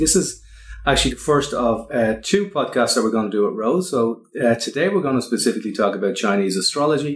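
A man with an Irish accent, medium in pitch, at a fairly quick pace with lively intonation. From Ireland. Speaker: podcast host and wellbeing consultant. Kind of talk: casual interview chat.

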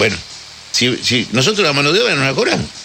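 A man's voice over noticeable background noise. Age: 70s. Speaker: butcher. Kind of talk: casual interview.

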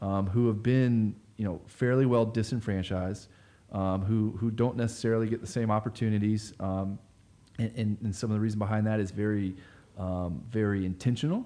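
This man speaks with an American accent in a fairly low voice with a dark, mellow tone. His pace is moderate and his intonation fairly even. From Florida (Sanford, central Florida). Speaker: nonprofit community organizer. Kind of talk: casual interview conversation.

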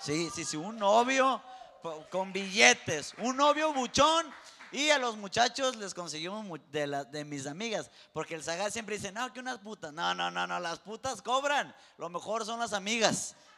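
A man with a high pitch speaks in a raised, projected voice at a fairly slow pace. His tone is animated, with very wide pitch swings and big swings in loudness. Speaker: co-host. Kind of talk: casual chat.

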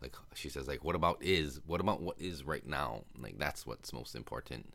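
In a very clean recording with a silent background, a man with an American accent speaks in a relaxed tone at a very deep, low pitch, with vocal fry and ordinary pitch variation. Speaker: podcast host. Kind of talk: casual solo monologue, movie recap. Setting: home recording, solo. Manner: relaxed, conversational with filler words.

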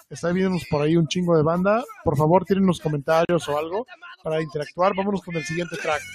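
A man speaks at a fairly quick pace in a high pitch with fairly even intonation. The sound is dry and close with no echo, and music plays in the background. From Veracruz, Mexico. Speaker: music podcast co-host. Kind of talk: casual album review chat.

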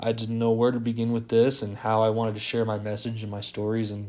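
In an American accent, the speaker has a dark, mellow tone and monotone, flat intonation. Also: man. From Las Vegas, US West. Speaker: podcast host. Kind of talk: casual monologue. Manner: hesitant, many fillers.

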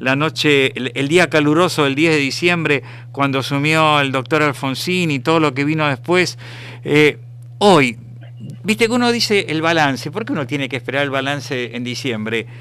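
A man's voice, fairly high in pitch, with ordinary pitch variation and a moderate pace. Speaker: radio host. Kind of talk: interview.

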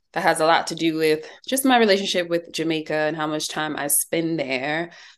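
A woman with an American accent has a normal speaking voice and a fairly low pitch. She speaks at a moderate pace with ordinary pitch variation over a quiet background. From US Northeast (New Jersey/New York area). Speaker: magazine writer and filmmaker. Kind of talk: interview.

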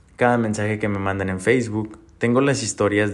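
Fairly even intonation in a man's voice at a fairly low pitch. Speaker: podcast host, entrepreneur. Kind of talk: personal monologue. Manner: halting, repeats words.

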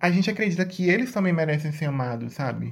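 A woman's voice, somewhat breathy, moves with lively intonation. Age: young. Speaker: student interviewer. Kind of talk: interview.

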